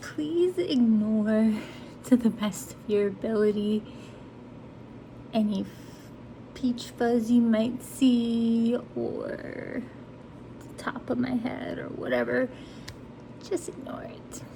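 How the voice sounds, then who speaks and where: A woman at a very slow pace with long, frequent pauses, big swings in loudness, ordinary pitch variation and noticeable background noise. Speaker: beauty content creator. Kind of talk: casual makeup tutorial talk to camera. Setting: fans running in background.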